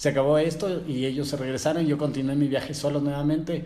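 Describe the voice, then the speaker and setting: With a Quito Ecuadorian accent, a man speaks at a fairly high pitch with fairly even intonation, and room echo can be heard. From Ecuador, Quito. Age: 30s. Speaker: motorbike traveller. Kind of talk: storytelling interview. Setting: in person, sitting together.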